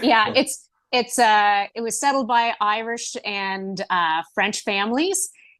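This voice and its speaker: A woman with a fairly high pitch and ordinary pitch variation speaks against a quiet background, her sound dry and close with no echo. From Canada, Prince Edward Island. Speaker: professional wrestler and former city councillor. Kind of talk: podcast interview. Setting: at home in her kitchen, remote call.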